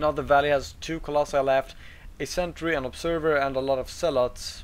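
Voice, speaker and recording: With a non-native accent, a man talks at a fairly quick pace in a fairly high pitch and a flat, monotone delivery. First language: not English. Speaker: game commentator. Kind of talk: live commentary. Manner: halting, with fillers and restarts.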